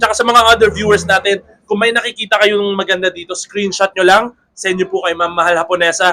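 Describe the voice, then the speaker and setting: A man speaks at a very fast pace in a raised, projected voice. His pitch is high, and his intonation is fairly even. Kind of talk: sales pitch. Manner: lowered voice.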